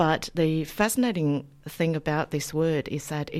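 A woman with a Chinese accent, very deep and low in pitch, at a moderate pace with lively intonation, on a very clean recording with a silent background. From China. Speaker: academic, lecturer in Chinese studies. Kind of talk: radio interview. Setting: radio studio.

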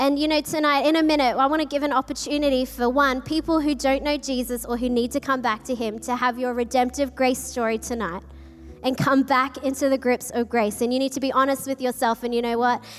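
In an Australian accent, a woman talks at a fairly quick pace with a high pitch. Her intonation stays monotone and flat. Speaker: pastor. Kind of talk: sermon. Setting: church with live audience.

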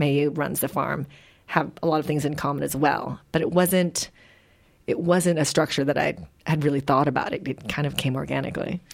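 A woman with a Midwestern accent and vocal fry, very deep and low in pitch, at a fairly quick pace with fairly even intonation. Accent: American Midwest. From Philippines, raised in Wisconsin. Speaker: novelist. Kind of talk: interview.

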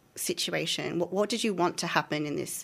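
A woman with a plain, everyday voice talks at a fairly low pitch with ordinary pitch variation, captured in a very clean recording with a silent background. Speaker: PhD candidate researcher. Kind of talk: radio interview.

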